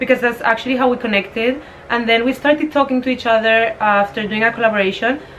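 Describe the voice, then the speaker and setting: Noticeable background noise sits behind a woman talking very fast, her fairly high pitch held in fairly even intonation. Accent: Spanish. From Spain. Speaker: fashion entrepreneur. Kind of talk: casual interview. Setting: at her home in Spain.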